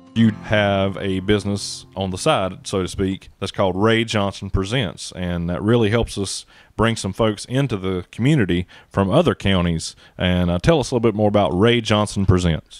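An ordinary speaking voice from a man, fairly low in pitch, at a moderate pace with ordinary pitch variation. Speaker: economic development coordinator, interviewer. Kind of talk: interview host questions.

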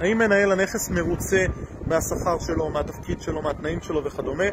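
Over noticeable background noise, a man speaks at a moderate pace with a high pitch and ordinary pitch variation. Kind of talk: casual educational vlog talk. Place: street. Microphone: phone near.

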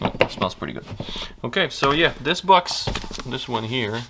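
Noticeable background noise is present. Against it, a man talks with lively intonation. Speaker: woodcarving youtuber. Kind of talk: tutorial. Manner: casual, with frequent fillers.

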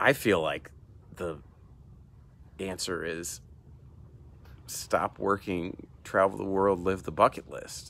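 The speech moves at a very slow pace with long, frequent pauses and big swings in loudness, in a dry sound with no echo. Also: man, very deep, low pitch for a man, fairly even intonation. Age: 40s. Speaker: emergency room doctor and video host; doctor reviewing a book. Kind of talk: solo book review monologue. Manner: casual, hesitant with frequent fillers. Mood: calm, reflective. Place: garden. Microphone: earbuds.

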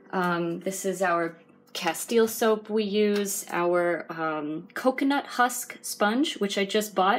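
Music plays in the background. The speech is very slow, with ordinary pitch variation. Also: woman. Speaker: volunteer vlogger. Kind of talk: casual vlog chat. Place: kitchen. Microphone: phone near.

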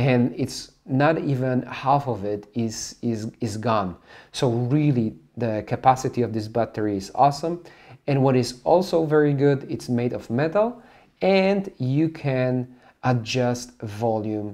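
Against a quiet background, a man talks at a fairly slow pace in a dark, mellow tone. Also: ordinary pitch variation. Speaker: gear reviewer. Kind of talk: product review tutorial. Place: studio.

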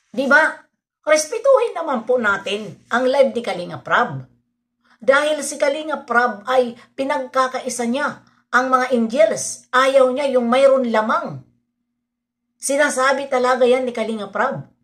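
At a fairly slow pace, a woman talks at a high pitch with ordinary pitch variation. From Philippines. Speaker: reaction vlogger. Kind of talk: vlog commentary. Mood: opinionated, defending. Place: home room. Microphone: phone near.

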